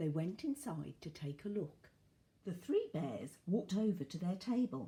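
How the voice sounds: The reading voice is natural, and its intonation is lively.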